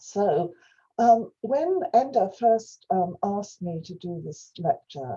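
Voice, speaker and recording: A woman with a Welsh accent speaks very slowly in a dark, mellow, somewhat breathy voice of medium pitch, with very wide pitch swings and big swings in loudness. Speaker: professor. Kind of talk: lecture. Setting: video call. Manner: halting.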